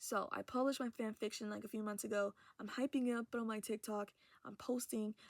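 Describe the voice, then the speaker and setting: At a fairly quick pace, the voice comes across dry and close, with no echo. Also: woman, fairly high pitch for a woman. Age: young. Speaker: vlogger. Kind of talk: casual chat. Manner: animated.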